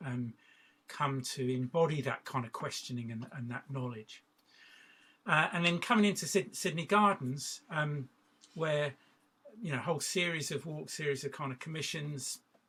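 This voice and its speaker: A man with a southern English accent and a bright, sharp tone, at a moderate pace with ordinary pitch variation. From southwest England. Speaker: artist and walking practitioner. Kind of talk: workshop talk. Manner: halting, many fillers.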